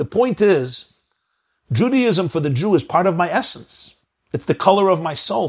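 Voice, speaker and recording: A man with a Brooklyn accent at a fairly quick pace, pitch swinging very widely, against a quiet background. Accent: New York American, Brooklyn. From Brooklyn, New York. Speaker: rabbi, lecturer. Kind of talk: lecture. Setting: video call.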